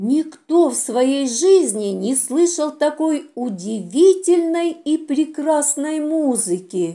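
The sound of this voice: The delivery is slow, with lively intonation and a dark, mellow tone. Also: woman, high pitch for a woman.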